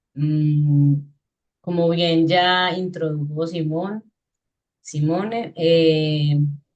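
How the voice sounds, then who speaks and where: Her intonation is fairly even. The woman talks throughout. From Colombia, Urabá (Guna community). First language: Guna (Tulegaya) (speaking Spanish). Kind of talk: guest talk. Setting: video call.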